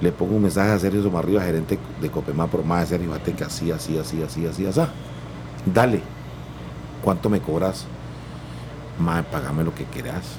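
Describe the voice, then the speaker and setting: A man speaks in a very deep, low voice at a fairly quick pace, with ordinary pitch variation. Long, frequent pauses break up his speech, and there is noticeable background noise. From Costa Rica, Guanacaste (Santa Cruz). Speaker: singer-songwriter and music producer. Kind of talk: interview.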